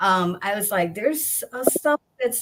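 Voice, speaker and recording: Here is a woman with an unremarkable speaking voice and an American accent. Her pitch is medium and her intonation lively. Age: 60s. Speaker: author and patient advocate. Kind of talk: online interview.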